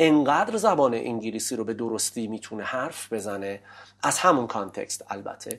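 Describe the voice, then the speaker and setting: At a moderate pace and medium pitch, a man speaks in a normal speaking voice with ordinary pitch variation, on a very clean recording with a silent background. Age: 30s. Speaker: English teacher. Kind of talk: interview. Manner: formal.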